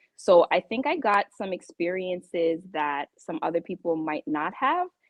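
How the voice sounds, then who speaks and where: Speaking at a fairly slow pace, a woman with a slight Jamaican accent uses lively intonation at a medium pitch. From Toronto, Canada, Jamaican family. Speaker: real estate professional. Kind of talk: podcast interview. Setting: live podcast.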